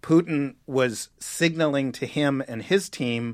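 A man speaks with an American accent at medium pitch, with ordinary pitch variation. He has an ordinary speaking voice, and the recording is very clean with a silent background. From New York City. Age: 40s. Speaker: journalist. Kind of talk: interview.

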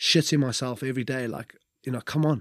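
Delivered at a moderate pace in a Welsh accent, the voice stays monotone and flat, with a dry, close sound and no echo. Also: man. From Wales. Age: 30s. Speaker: former rugby player. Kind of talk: casual interview. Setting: studio in London.

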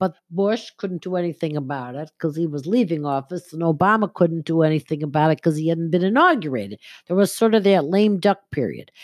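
In a very clean recording with a silent background, a woman with a fairly low pitch talks at a fairly quick pace in an ordinary speaking voice. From Buffalo, western New York. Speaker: spiritual medium and astrologer. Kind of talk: casual interview.

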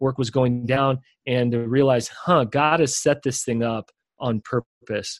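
A man with an ordinary speaking voice talks at a medium pitch and a fairly slow pace. His intonation is fairly even, and the sound is dry and close with no echo. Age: young. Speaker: leadership coach and author. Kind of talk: interview.

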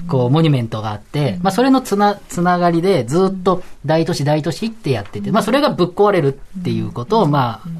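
Over noticeable background noise, a man speaks at a very fast pace in a high pitch with very wide pitch swings. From central Tokyo. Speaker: guest panelist. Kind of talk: radio panel discussion.

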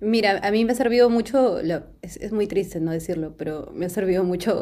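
At a moderate pace, a woman talks in an ordinary speaking voice with fairly even intonation. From Peru. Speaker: singer. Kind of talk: casual interview.

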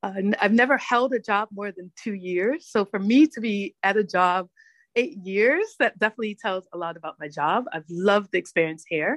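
A woman with an American accent and a plain, everyday voice, medium pitch, lively intonation, big swings in loudness and a moderate pace, in a dry, close sound with no echo over a quiet background. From Hartford, Connecticut, US. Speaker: podcast host, guest. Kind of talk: interview.

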